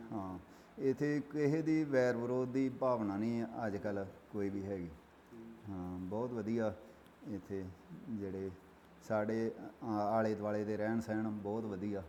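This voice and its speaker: A man speaks at a fairly low pitch in a dark, mellow tone. Audible room echo surrounds his voice. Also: ordinary pitch variation. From Punjab, India. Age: 60s. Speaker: village elder. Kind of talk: interview. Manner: halting.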